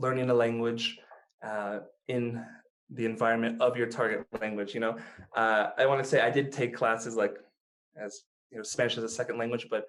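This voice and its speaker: With an American accent, a man at medium pitch talks at a fairly quick pace in a monotone, flat intonation, leaving long, frequent pauses. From United States. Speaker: language learner, YouTuber. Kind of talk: podcast interview answer. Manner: casual, relaxed.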